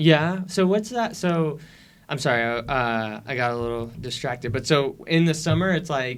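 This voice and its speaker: Lively intonation runs through a man's unremarkable speaking voice. His pitch is fairly high, and his pace is moderate. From Las Vegas, US. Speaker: podcast host. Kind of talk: interview.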